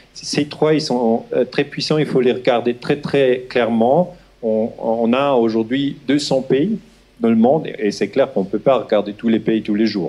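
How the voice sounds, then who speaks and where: A man with a Swiss German accent speaks at a medium pitch and a fairly slow pace, his dark, mellow tone holding a very even loudness. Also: ordinary pitch variation. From Switzerland (German-speaking). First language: Swiss German (speaking French). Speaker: historian. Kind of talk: lecture. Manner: halting, many hesitations.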